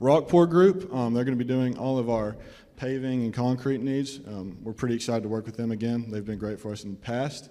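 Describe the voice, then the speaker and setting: Speaking with a Southern US accent, a man has a dark, mellow tone, a medium pitch and a fairly quick pace. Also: ordinary pitch variation. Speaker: student team presenter. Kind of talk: student project presentation.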